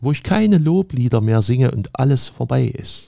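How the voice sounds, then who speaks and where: The tone is dark and mellow, and the intonation is lively. The pace is moderate. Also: man. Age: 50s. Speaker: pastor. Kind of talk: sermon.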